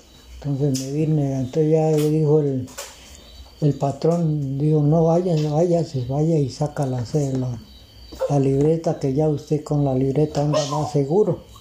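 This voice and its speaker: The speech moves at a fairly slow pace with noticeable background noise. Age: old. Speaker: farmer. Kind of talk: interview. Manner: halting.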